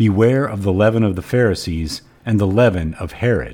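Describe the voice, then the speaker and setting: This man has an ordinary speaking voice with fairly low pitch. His intonation is lively. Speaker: podcast host and cigar smoker. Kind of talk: scripture reading with commentary; casual podcast monologue. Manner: measured, even, reverent reading pace; warm, conversational, friendly.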